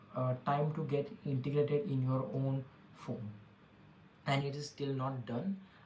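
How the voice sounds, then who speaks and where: This voice has an Indian accent and a fairly slow pace. The intonation stays fairly even. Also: man. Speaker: tech podcast host. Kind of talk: solo podcast monologue. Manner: halting, many fillers and restarts.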